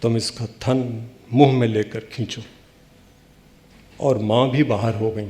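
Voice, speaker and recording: A man of medium pitch with a Bihari accent, somewhat breathy and monotone, with long, frequent pauses. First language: Bhojpuri (speaking Hindi). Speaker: poet. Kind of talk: poetry reading.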